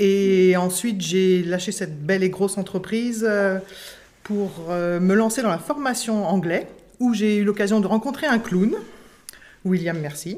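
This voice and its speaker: A woman at medium pitch, an ordinary speaking voice with ordinary pitch variation. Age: 50s. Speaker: school education assistant and clown student. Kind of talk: interview before live audience. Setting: recorded with live audience.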